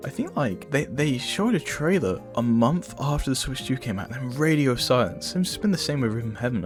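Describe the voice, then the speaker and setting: Man with a medium pitch and very wide pitch swings at a moderate pace, music in the background. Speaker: gaming commentary youtuber. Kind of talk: casual talk to camera. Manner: casual, stammering.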